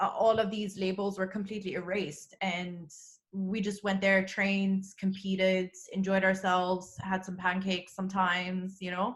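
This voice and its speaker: A woman speaks at a medium pitch in a somewhat breathy voice. Her intonation stays monotone and flat. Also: moderate pace. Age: 30s. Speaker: CrossFit athlete. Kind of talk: casual interview. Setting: video call.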